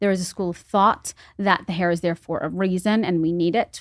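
A plain, everyday voice with an American accent at a moderate pace, dry and close with no echo, on a very clean recording with a silent background. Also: woman. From New York City, the Bronx. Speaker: esthetician. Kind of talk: interview.

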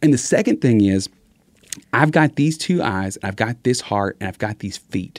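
A man speaks at a medium pitch with lively intonation and a Texas accent, recorded with a dry, close sound and no echo. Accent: Southern US (Texas). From Southeast Texas. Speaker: evangelist speaker, former youth minister. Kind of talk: casual chat. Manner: fast talker; mumbles sometimes.

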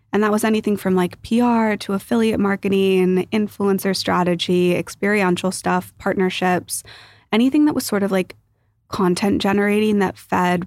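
Her medium-pitched voice holds very even loudness and ordinary pitch variation as a woman speaks at a moderate pace in a very clean recording with a silent background. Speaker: investor and partnerships executive. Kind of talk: casual interview chat. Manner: calm, eloquent.

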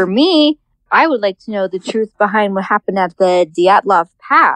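With an American accent and an ordinary speaking voice, a woman talks at a moderate pace and medium pitch, her intonation lively and the sound dry and close with no echo. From California. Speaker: cat rescue worker. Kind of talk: voicemail message. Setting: phone call.

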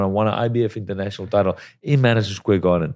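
A man speaks very fast in a dark, mellow tone. The recording is very clean, with a silent background. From South Africa. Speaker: professional boxer. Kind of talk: interview.

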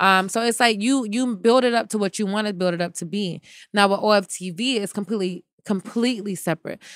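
A woman with an American accent speaks at a very fast pace and medium pitch on a very clean recording with a silent background. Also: dry, close sound with no echo. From United States. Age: 20s. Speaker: TV personality. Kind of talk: casual chat.

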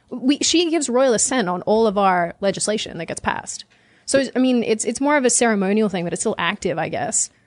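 A woman with a fairly high pitch speaks at a fairly quick pace. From Australia. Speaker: political commentator, YouTuber. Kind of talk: casual panel chat.

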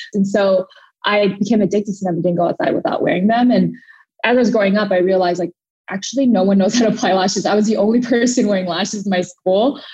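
At a very fast pace, this somewhat breathy voice has a dark, mellow tone and very even loudness. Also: woman, medium pitch for a woman, ordinary pitch variation. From Thailand, moved to US at seven. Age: 20s. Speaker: beauty brand founder. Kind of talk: interview.

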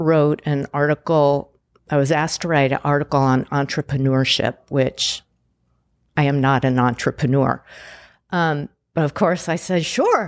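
A woman's very deep, low voice with an American accent at a fairly slow pace, fairly even intonation and very even loudness, in a very clean recording with a silent background and a dry, close sound with no echo. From Pasadena, California. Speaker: entrepreneur, former dancer and nutritionist. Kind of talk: interview.

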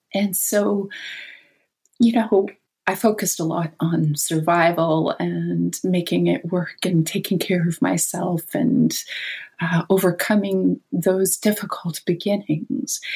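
Speaking very slowly, a woman with a Canadian accent has a fairly low pitch and a dark, mellow tone. Vocal fry colors her voice, and her pitch variation is ordinary. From Canada. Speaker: author and dreamwork teacher. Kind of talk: interview conversation.

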